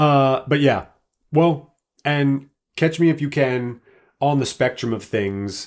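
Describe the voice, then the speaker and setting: A fairly high male voice at a very slow pace, broken by long, frequent pauses. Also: ordinary pitch variation. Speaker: podcast co-host. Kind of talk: casual chat.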